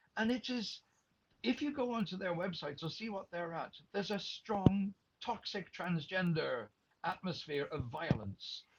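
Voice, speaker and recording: In an Irish accent, a man talks at a moderate pace with a high pitch and lively intonation. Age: 60s. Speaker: retired radio journalist. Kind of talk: interview. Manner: animated.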